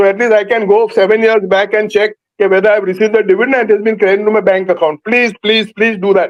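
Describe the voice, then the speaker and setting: A man's high-pitched voice at a very fast pace, monotone and flat, with very even loudness and hardly any pauses. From India, Maharashtra. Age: 70s. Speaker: shareholder. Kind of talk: shareholder question at virtual meeting. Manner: halting.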